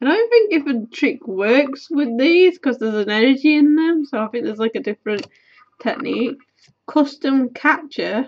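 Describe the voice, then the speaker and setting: A woman speaks with a British accent in a high pitch. Her pace is moderate. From UK. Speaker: YouTuber. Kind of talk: casual chat, card opening. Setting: webcam at home. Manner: rambling, casual. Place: home room.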